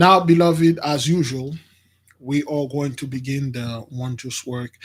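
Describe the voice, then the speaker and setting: Somewhat breathy, a man speaks at medium pitch and a fairly slow pace, with ordinary pitch variation. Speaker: spiritual teacher. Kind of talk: religious teaching. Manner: soft-spoken.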